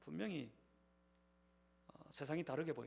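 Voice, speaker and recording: With audible room echo, a man speaks at a fairly high pitch with vocal fry. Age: 50s. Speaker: pastor. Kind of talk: sermon. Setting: church.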